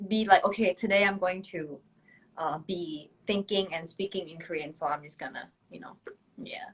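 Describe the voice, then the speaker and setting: A woman speaks with a Thai accent and ordinary pitch variation. Her loudness swings widely. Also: medium pitch for a woman, moderate pace. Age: 20s. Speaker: K-pop idol singer. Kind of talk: casual chat. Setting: Instagram live video stream.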